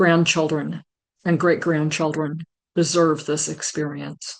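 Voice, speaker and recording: Speaking at a fairly slow pace, a woman uses a fairly low pitch and monotone, flat intonation. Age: 80s+. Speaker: retired minister. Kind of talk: personal testimony.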